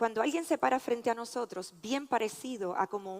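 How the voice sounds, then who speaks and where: A woman speaks with a Puerto Rican accent at a moderate pace. Her voice is fairly high, and the sound is dry and close with no echo. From Puerto Rico. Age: 50s. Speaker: physician and researcher. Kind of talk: conference talk.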